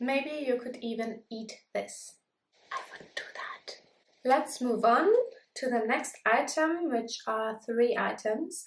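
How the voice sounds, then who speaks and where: A high-pitched woman's voice with a German accent and ordinary pitch variation. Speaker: beauty vlogger. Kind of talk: product review vlog.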